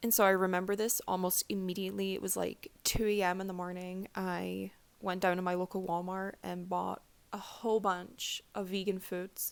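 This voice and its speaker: A woman in a Scottish accent speaks at a medium pitch with a monotone, flat intonation. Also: moderate pace. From Scotland. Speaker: vlogger, aspiring doctor. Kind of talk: personal testimony vlog. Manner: casual, many fillers.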